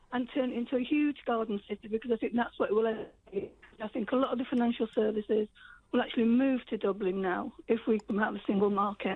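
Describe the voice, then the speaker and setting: This woman talks at a very fast pace. Her pitch is fairly high and her intonation fairly even. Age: 60s. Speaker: caller. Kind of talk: radio phone-in debate. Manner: halting.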